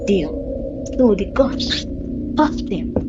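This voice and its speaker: A female-sounding voice uses a put-on character voice at a high pitch. Loud background noise runs throughout. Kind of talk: spooky folktale narration. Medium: read story. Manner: slow, suspenseful.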